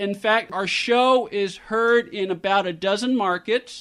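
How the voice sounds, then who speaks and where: Against a quiet background, a man with a high pitch talks at a fairly slow pace with fairly even intonation. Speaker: radio talk show host. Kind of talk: radio interview. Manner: clearly enunciated.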